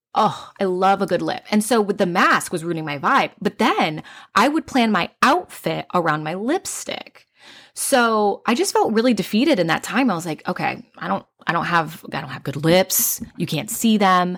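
A woman speaks at a medium pitch with lively intonation and a moderate pace, in a plain, everyday voice. The recording is very clean, with a silent background. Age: 30s. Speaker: hairstylist podcast co-host. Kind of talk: casual chat.

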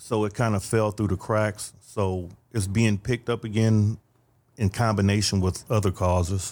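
A man speaks in an American accent at a moderate pace with a fairly low pitch. His intonation is monotone and flat, and his loudness stays very even. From Detroit. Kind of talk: casual interview.

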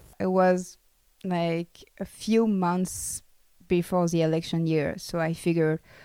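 In a French accent, a woman speaks at a fairly slow pace with a fairly low pitch and a dark, mellow tone, on a very clean recording with a silent background. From France. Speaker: freelance journalist. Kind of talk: interview.

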